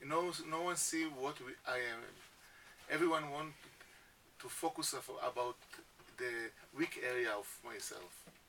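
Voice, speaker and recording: A man with a non-native accent and a fairly high pitch, at a fairly slow pace with long, frequent pauses, amid noticeable background noise. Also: ordinary pitch variation. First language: Hebrew. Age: 50s. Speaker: education founder. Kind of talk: radio interview. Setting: radio studio. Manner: halting.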